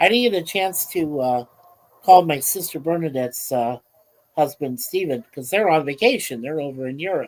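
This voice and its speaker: Lively intonation marks an ordinary speaking voice. The speed is moderate. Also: man, fairly high pitch for a man. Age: 60s. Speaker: livestream host. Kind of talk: casual chat. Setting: livestream.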